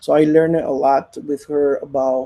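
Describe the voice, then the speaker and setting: With a Spanish accent, a man speaks at a moderate pace in a dark, mellow tone. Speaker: poet. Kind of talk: panel discussion. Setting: live-streamed festival panel. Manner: halting, many fillers.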